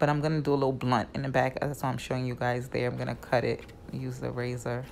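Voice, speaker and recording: A woman speaks in a New York accent. Her pace is very fast. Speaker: wig stylist. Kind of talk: tutorial. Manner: casual, chatty.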